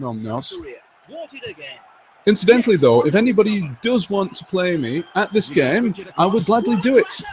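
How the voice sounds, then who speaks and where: A man with a high voice speaks at a moderate pace, swinging widely in pitch and leaving long, frequent pauses, with noticeable background noise behind him. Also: big swings in loudness. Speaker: gaming streamer. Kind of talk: live gameplay commentary. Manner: animated; loud. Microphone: old game microphone, poor stereo mix audio.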